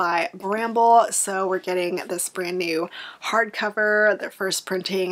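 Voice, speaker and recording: The speech moves at a fairly slow pace. Its pitch varies in an ordinary way. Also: woman. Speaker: book vlogger. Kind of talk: casual vlog chat. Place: home room.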